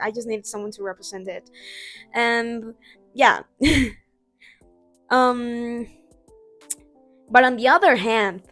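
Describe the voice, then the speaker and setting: A woman at a fairly high pitch, with big swings in loudness, long, frequent pauses and music in the background. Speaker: amateur artist. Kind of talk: casual talk to camera.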